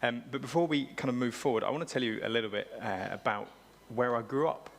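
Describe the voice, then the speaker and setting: Over noticeable background noise, a man at medium pitch talks at a very fast pace with ordinary pitch variation. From England, South Cambridgeshire. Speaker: pastor. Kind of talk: sermon. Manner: casual, conversational.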